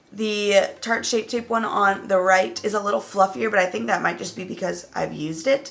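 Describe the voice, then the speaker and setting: A woman's medium-pitched voice with vocal fry, ordinary pitch variation and a moderate pace. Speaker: beauty YouTuber. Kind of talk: makeup review tutorial.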